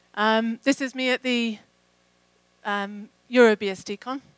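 A woman speaks with a southern English accent in a monotone, flat intonation. The sound is dry, with no echo. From England. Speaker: program manager. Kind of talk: conference talk. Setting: stage with audience. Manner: hesitant with fillers. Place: hall. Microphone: handheld.

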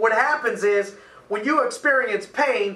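A man projects a raised voice at a moderate pace. Room echo can be heard. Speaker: coach. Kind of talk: motivational talk. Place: office.

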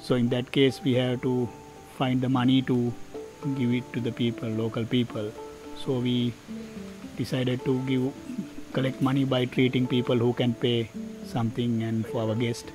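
A man talks with fairly even intonation and long, frequent pauses. Clear music plays behind the dry sound with no echo. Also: moderate pace. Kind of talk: interview answer. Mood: calm, earnest. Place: open country.

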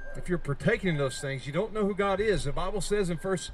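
Lively intonation comes through over light background noise. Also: man. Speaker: street preacher. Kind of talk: street preaching sermon. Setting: outdoors on a college campus. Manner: fervent, emphatic. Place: street. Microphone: handheld.

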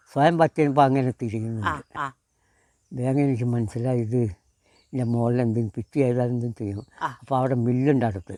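A man's medium-pitched voice carries a dark, mellow tone and fairly even intonation. The sound is dry and close with no echo. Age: 80s+. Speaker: wooden toy maker. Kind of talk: interview storytelling.

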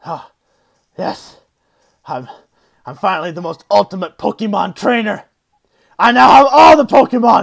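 Using a put-on character voice with a high pitch, a man speaks at a moderate pace with long, frequent pauses. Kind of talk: comic overacting. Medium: machinima. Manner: pompous, gloating.

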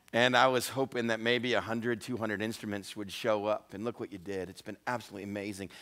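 Behind the man talking, the background is quiet. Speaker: pastor. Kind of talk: sermon. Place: church.

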